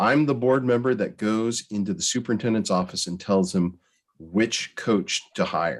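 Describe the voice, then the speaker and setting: A plain, everyday voice from a man with an American accent, fairly low in pitch, at a moderate pace with ordinary pitch variation. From Oregon coast. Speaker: board development consultant. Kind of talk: presentation to school board. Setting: video call.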